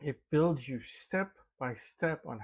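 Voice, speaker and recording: Somewhat breathy and fairly high, a man's voice moves at a very slow pace with ordinary pitch variation. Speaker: mindset and leadership coach. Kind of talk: live stream talk. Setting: live stream. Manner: occasional stutter.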